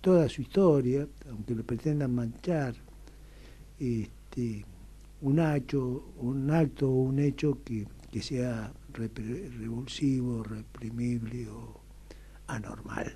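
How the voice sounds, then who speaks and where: A man with a Rioplatense accent talks at a very slow pace, leaving long, frequent pauses. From Argentina, Buenos Aires. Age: 70s. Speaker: radio interview guest. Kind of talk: radio interview. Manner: hesitant, with fillers.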